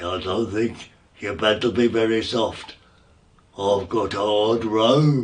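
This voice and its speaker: A man's put-on character voice, medium in pitch, at a fairly slow pace. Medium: read story. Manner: friendly, homely.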